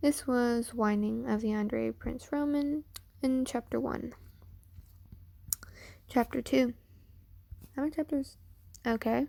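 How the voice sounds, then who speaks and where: A woman's high-pitched voice with a dark, mellow tone, fairly even intonation, and fairly slow pace broken by long, frequent pauses. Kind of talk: amateur fan fiction reading. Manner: casual.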